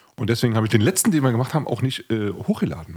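A somewhat breathy man talks at a very fast pace on a very clean recording with a silent background. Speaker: podcast host and musician. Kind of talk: casual chat.

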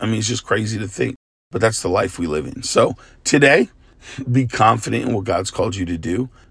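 Somewhat breathy, a man speaks at a fairly quick pace and medium pitch with ordinary pitch variation. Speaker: pastor. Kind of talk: devotional talk.

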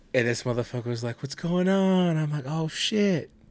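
Loud and lively in intonation, a man speaks with a dark, mellow tone. His pace is moderate. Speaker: podcast co-host. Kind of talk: casual chat.

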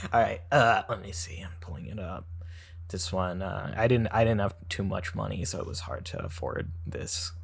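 In an American accent, a man with a very deep, low pitch and ordinary pitch variation speaks at a moderate pace, somewhat breathy, with big swings in loudness. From United States. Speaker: comedic actor in web series. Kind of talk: casual comedic chat. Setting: remote recording in a hot room. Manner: low-energy, subdued on mic.

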